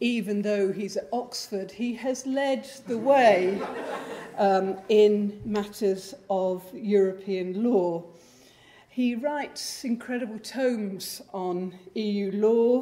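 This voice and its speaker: This woman talks at a very slow pace with ordinary pitch variation. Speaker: host introducing the lecturer. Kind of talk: formal introduction speech. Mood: warm, lightly humorous. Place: hall. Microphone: podium.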